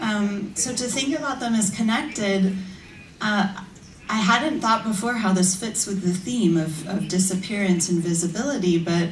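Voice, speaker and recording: At a moderate pace and with ordinary pitch variation, a speaker in an American accent is heard through audible room echo and noticeable background noise. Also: woman. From United States. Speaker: academic. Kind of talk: conference talk. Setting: stage with audience.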